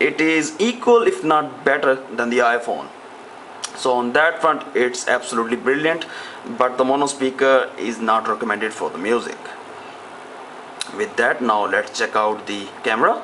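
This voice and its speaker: Amid noticeable background noise, a man talks at a moderate pace, leaving long, frequent pauses. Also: medium pitch for a man, ordinary pitch variation. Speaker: tech reviewer. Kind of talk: product review. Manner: hesitant with frequent fillers.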